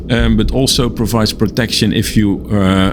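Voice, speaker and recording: Noticeable background noise under a man talking at a moderate pace. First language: not English. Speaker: gaming video creator. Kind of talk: game tour commentary. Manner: halting, many fillers.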